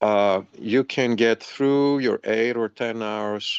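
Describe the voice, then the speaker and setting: A man's normal speaking voice, fairly low in pitch with fairly even intonation, dry and close with no echo over a quiet background. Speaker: massage therapist. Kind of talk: interview.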